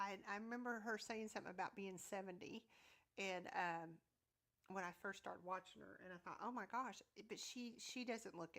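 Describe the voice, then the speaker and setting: A woman speaks with a Southern US accent at a moderate pace. Her pitch is medium, with ordinary variation. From US South. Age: 50s. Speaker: YouTube content creator. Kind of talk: casual chat. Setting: livestream. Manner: loud.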